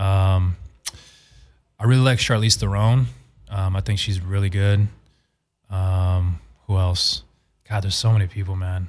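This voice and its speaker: The speaker has an American accent and fairly even intonation. The pace is fairly slow, with long, frequent pauses. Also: man, fairly low pitch for a man. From Arizona, Phoenix. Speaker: actor. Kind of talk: casual chat. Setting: studio.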